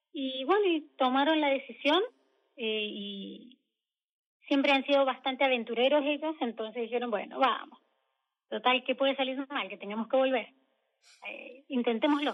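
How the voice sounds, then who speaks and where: A woman in a Mendoza accent, high-pitched, at a moderate pace with long, frequent pauses and ordinary pitch variation. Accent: Mendoza Argentine Spanish. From Argentina, Mendoza. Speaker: emigrant architect interviewee. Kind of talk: radio interview.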